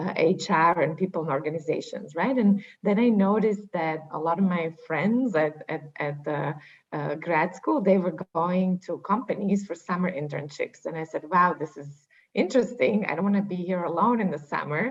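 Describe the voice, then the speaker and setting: With a Slovak accent, a woman speaks at a moderate pace in a fairly low pitch, with ordinary pitch variation and hardly any pauses. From Slovakia. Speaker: HR executive. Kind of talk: panel discussion.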